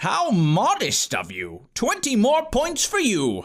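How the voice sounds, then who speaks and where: This man's put-on character voice is pitched extremely high. The delivery moves at a fairly slow pace. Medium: read story. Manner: languid.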